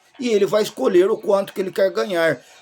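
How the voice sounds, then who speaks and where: Music plays in the background as a man speaks in an animated tone. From rural Brazil. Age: 60s. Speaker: YouTuber commentator. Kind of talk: opinion monologue.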